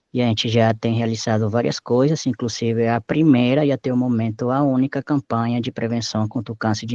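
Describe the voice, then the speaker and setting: Close and dry with no echo, a man's dark, mellow tone comes through fairly even intonation against a quiet background. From Mexico, Acapulco. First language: Spanish (speaking Portuguese). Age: 30s. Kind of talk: oral history interview. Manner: halting, with self-corrections.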